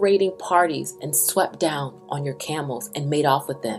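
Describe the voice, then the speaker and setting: Music plays in the background as the voice moves at a fairly slow pace with very wide pitch swings. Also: woman. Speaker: scripture reader. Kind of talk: bible reading, spoken word style.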